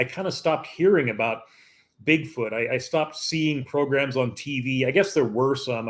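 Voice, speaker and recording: A man's medium-pitched voice at a moderate pace, ordinary pitch variation, quiet background. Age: 60s. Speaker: Bigfoot researcher. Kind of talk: casual interview. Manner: halting.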